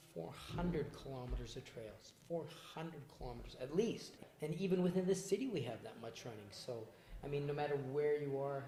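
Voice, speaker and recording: A man's fairly high, somewhat breathy voice with a dark, mellow tone, lively intonation, a fairly quick pace, and audible room echo. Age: 60s. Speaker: personal trainer and former pro boxer. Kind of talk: casual interview.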